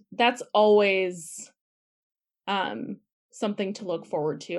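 A woman speaks with a Wisconsin accent. The recording is very clean, its background silent. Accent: Upper Midwest (Wisconsin). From Wisconsin, Milwaukee. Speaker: stage manager and social worker. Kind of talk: casual interview. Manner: frequent laughter and filler words.

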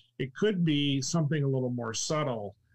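Somewhat breathy, a man speaks at a medium pitch and moderate pace with lively intonation. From California. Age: 60s. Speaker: retired NASA executive. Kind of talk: casual interview chat. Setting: live stream.

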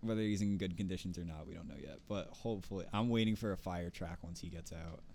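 A man with an American accent, very deep and low in pitch with a dark, mellow tone, at a very fast pace with hardly any pauses and fairly even intonation, in audible room echo. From North Jersey, US. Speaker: podcast co-host. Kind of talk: casual chat.

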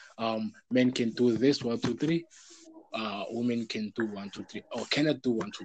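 A man's unremarkable speaking voice at medium pitch, with ordinary pitch variation and a moderate pace. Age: young. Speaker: podcast host. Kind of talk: casual chat.

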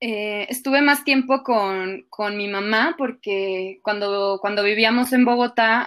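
Very slowly, a woman speaks in a fairly high voice. The recording is very clean, with a silent background. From Colombia. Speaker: actress. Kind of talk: casual interview chat.

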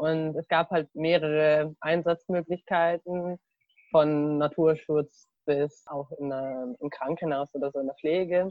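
A woman with a very deep, low pitch talks at a very slow pace with fairly even intonation. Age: 20s. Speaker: university student. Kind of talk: casual chat. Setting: video call from a garden. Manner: halting.

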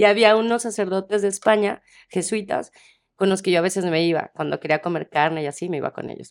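The recording is very clean, with a silent background. A woman talks very fast at medium pitch, with ordinary pitch variation. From Mexico, Tepic (Nayarit). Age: 40s. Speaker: casting director. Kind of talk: interview.

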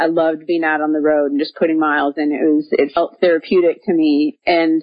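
A woman has an ordinary speaking voice with an American accent. She talks at a moderate pace in a fairly low pitch. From Minnesota, US Midwest. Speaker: professional cyclist, former runner. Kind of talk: interview.

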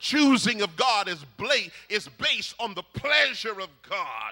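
In a raised, projected voice, a man speaks with an extremely high pitch and an animated tone. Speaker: preacher. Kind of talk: sermon. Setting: church with congregation. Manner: call-and-response, rousing, fervent; animated, exhorting the congregation.

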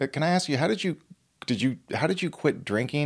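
Over a silent background in a very clean recording, a man talks very fast with lively intonation. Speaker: podcast host. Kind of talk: casual podcast interview.

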